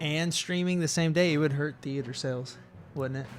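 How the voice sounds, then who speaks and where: With music in the background, a man's intonation stays fairly even as he speaks. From United States. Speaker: podcast co-host. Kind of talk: casual chat.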